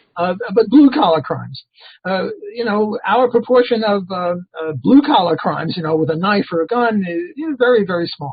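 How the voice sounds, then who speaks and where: Speaking at a moderate pace, a man uses a high voice. His pitch swings very widely. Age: 70s. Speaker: economics professor. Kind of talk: casual interview discussion. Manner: halting, many fillers.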